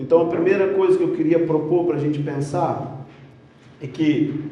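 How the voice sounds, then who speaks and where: A man with a fairly high voice speaks at a fairly slow pace, with noticeable background noise and audible room echo. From Rio de Janeiro, Brazil. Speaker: conference speaker. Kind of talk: sermon. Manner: animated.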